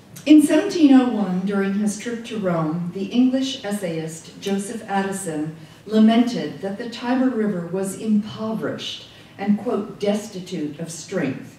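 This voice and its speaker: Big swings in loudness and lively intonation mark this woman's fairly slow speech. Room echo is audible. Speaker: invited lecturer. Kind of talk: lecture. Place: hall.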